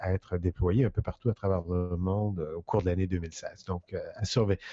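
A man's fairly low-pitched voice. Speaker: digital communication consultant. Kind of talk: casual chat.

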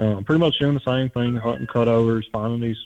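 A man with an American accent, medium pitch and fairly even intonation. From South Louisiana. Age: 20s. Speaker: hunter, podcast listener. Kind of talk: casual interview.

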